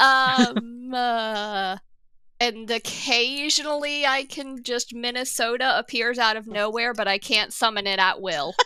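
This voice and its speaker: A woman's high, bright, sharp voice at a fairly slow pace, with ordinary pitch variation. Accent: slight Southern US. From US South. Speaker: tabletop role-playing podcast player. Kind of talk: casual chat. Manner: halting.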